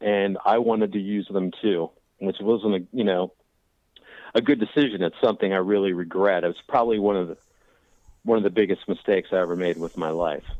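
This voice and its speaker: In an American accent, a man with a plain, everyday voice talks at a fairly quick pace with fairly even intonation. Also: fairly low pitch for a man. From Washington DC area. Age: 40s. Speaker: recovering addict. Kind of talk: interview.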